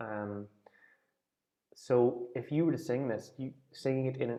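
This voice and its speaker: A man with a strong Irish accent talks at a medium pitch and a fairly slow pace. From Ireland, near Dundalk on the Louth border. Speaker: folk singing teacher. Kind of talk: online class discussion.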